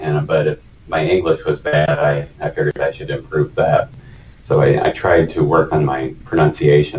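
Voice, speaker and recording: Over noticeable background noise, a man talks at a moderate pace. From United States. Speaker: retired engineering manager interviewed about working in Vietnam. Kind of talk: casual interview.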